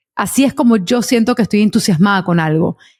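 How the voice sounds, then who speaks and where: Dry and close with no echo, a woman's somewhat breathy voice moves at a fairly quick pace with fairly high pitch and lively intonation. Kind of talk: interview conversation.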